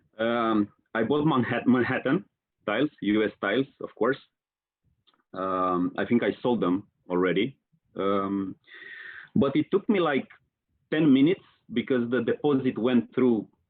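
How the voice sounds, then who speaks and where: A man with a Romanian accent speaks at a fairly slow pace with a medium pitch and lively intonation. Long, frequent pauses run through his speech. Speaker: marketing professional, online community leader. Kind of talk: podcast interview. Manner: hesitant, many fillers.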